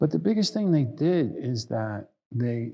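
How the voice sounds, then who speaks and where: With a New York accent, this man speaks at a medium pitch in a dark, mellow tone, his pitch swinging very widely. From New York City. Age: 70s. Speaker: meditation and tai chi teacher. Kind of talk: lecture. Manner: halting.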